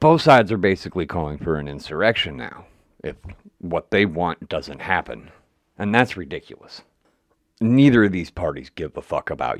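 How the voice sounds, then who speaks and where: With an American accent, a man speaks in a very deep, low pitch with vocal fry and very wide pitch swings at a moderate pace, the sound dry and close with no echo. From West Virginia. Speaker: podcast host. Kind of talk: editorial monologue. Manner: casual, profane.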